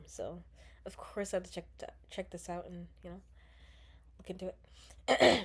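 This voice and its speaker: Using a raspy, put-on character voice, a woman speaks at a moderate pace with big swings in loudness and long, frequent pauses. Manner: stuttering.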